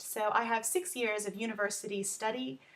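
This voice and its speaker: Speaking at a moderate pace, a woman with a Texan accent has a fairly high voice. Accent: Texan American. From Texas. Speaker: learning advocate and tutor. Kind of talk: self-introduction video. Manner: frequent filler ums.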